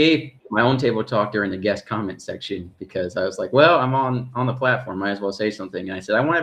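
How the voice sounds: Pitch variation here is ordinary. It is a natural reading voice.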